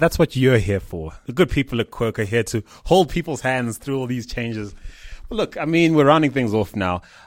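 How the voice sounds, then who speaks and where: With lively intonation and a fairly quick pace, a man speaks in an unremarkable speaking voice at medium pitch. The recording is very clean with a silent background, and the sound is dry and close with no echo. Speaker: interviewer. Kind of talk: interview.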